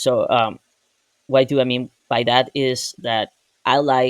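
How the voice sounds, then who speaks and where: The sound is dry and close with no echo as a man with a Spanish accent speaks at a medium pitch. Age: 20s. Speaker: software engineer. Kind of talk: personal vlog. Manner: casual, with hesitations.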